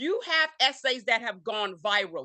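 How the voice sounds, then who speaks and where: The voice is raised and projected, with a bright, sharp tone. It sounds animated throughout. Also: woman. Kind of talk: panel talk.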